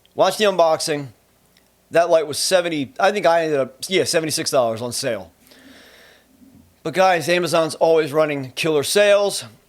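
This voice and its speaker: A man with a New Jersey accent speaks at a fairly high pitch with ordinary pitch variation. He leaves long, frequent pauses. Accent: New Jersey accent, noticeable. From US Northeast, Trenton, New Jersey. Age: 40s. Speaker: photo and video gear reviewer. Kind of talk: tutorial. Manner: casual, conversational.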